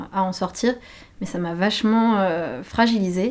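A woman with a medium pitch talks at a fairly slow pace, her intonation fairly even. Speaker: interviewee recounting prison experience. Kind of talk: casual chat, personal interview testimony. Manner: halting, hesitant, casual.

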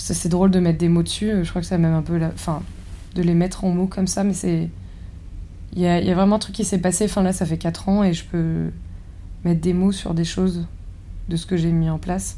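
A woman's dark, mellow voice at a fairly low pitch, flat and monotone, with long, frequent pauses and audible room echo. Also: fairly quick pace. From rural France. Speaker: architect and chef. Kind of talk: interview. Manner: halting.

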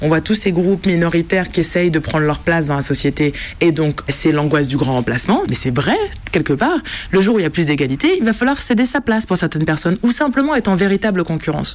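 The speech moves at a very fast pace with very wide pitch swings. Loudness stays very even over noticeable background noise. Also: woman, fairly low pitch for a woman. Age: 30s. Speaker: film director. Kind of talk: interview. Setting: small cinema room.

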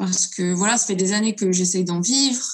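This woman's voice is somewhat breathy. Her intonation stays fairly even. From France, Lyon. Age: 20s. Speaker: singer-songwriter. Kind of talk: interview.

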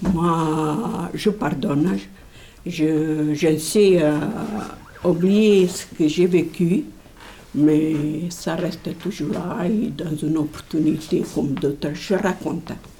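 A woman speaks very slowly at a fairly low pitch with ordinary pitch variation. Noticeable background noise is present. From Portugal. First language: Portuguese (speaking French). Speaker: immigrant. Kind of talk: testimony.

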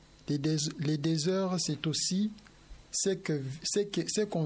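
A man is speaking here. His pitch is fairly high and his intonation fairly even. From DR Congo. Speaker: asylum seeker, radio workshop participant. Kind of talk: live radio discussion.

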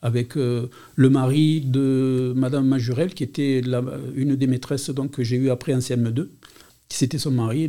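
Here a man speaks in a Catalan accent. His pace is fairly slow and his intonation fairly even. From Montpellier, France. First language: Catalan (speaking French). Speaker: retired school administrator. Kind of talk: testimony. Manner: halting.

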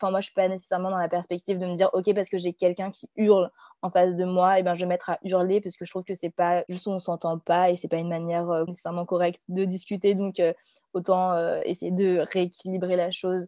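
A woman speaks at a very fast pace in a medium pitch, her dark, mellow tone flat and monotone, with a dry, close sound free of echo against a quiet background. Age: 20s. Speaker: student. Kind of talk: interview.

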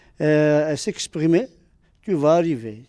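A man's very slow, fairly high-pitched voice with a dark, mellow tone. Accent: Arabic. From Algeria. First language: Arabic (speaking French). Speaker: immigrant parent. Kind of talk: testimony. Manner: halting.

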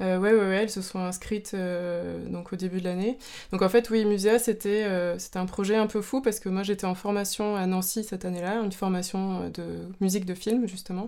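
A dark, mellow tone at a moderate pace, monotone and flat, with hardly any pauses. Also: woman, medium pitch for a woman. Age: 30s. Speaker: dance teacher and composer. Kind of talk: interview. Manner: hesitant, many fillers.

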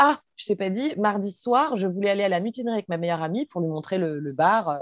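With an unremarkable speaking voice, a woman talks at a moderate pace in a medium pitch with lively intonation, the sound dry and close with no echo. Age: 20s. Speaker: activist sharing personal story. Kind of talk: testimony.

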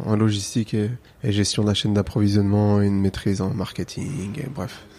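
A man's dark, mellow tone sits at a fairly low pitch. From France. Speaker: calligraffiti artist. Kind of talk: casual interview.

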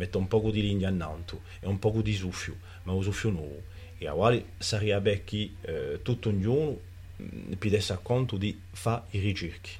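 A man's somewhat breathy, fairly low voice at a moderate pace, with fairly even intonation. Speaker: writer and cultural figure. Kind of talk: interview. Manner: halting, with many repetitions.

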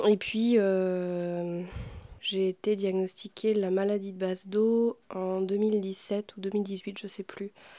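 Very slowly and in a monotone, flat intonation, a woman speaks at a medium pitch with a dark, mellow tone. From Normandy, France. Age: 30s. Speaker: musician and podcast maker. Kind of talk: intimate conversation. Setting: home.

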